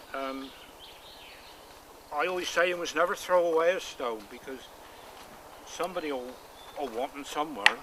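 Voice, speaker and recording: Speaking with a Cornish accent at a moderate pace, a man with a fairly high pitch and ordinary pitch variation leaves long, frequent pauses, his loudness swinging widely amid noticeable background noise. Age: 70s. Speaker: stone wall builder. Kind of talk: interview. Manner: halting.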